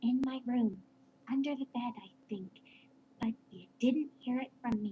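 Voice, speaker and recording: A female-sounding, put-on character voice sits at a high pitch. It moves at a moderate pace. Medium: read story. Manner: polite, measured.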